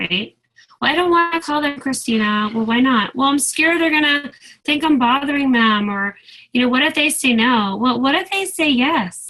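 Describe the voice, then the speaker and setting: Raising and projecting her high voice, a woman speaks at a moderate pace with lively intonation and a bright, sharp tone. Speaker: direct sales team leader. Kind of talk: training call. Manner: animated.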